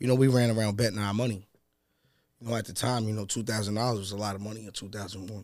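Speech comes at a very fast pace in a monotone, flat intonation with big swings in loudness. The sound is dry with no echo over a quiet background. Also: man, fairly low pitch for a man. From New York City, Harlem; New York City. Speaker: battle rapper; podcast guest. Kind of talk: casual chat. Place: studio. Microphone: studio mic.

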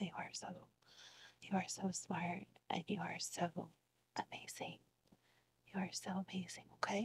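A woman whispering in a soothing, gentle tone at a fairly slow pace, with long, frequent pauses. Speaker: ASMR roleplay student therapist. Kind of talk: ASMR roleplay, soft whispered therapy session. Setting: video, roleplay session with listener as the patient. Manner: soft-spoken, soothing, gentle and reassuring, with repeated praise. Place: home room.

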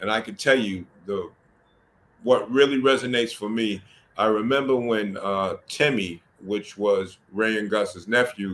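With an American accent, a man talks at a fairly slow pace in a fairly low pitch. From US Northeast, Mount Vernon, New York; New York. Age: 60s. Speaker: addiction nonprofit leader and social work educator; podcast guest. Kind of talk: podcast interview. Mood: reflective, earnest. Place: home room. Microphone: video call.

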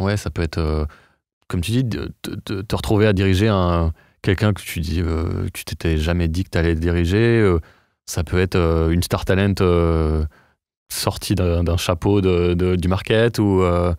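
A man speaks at a fairly slow pace in a very deep, low voice, with a dry sound free of echo and a quiet background. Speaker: podcast host. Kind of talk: casual interview chat. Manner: animated. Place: studio. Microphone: studio mic.

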